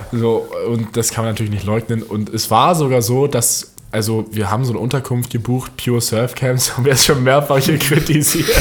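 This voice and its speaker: A man at a fairly quick pace, with fairly even intonation, hardly any pauses, and noticeable background noise. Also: medium pitch for a man. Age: young. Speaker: podcast co-host. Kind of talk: casual chat.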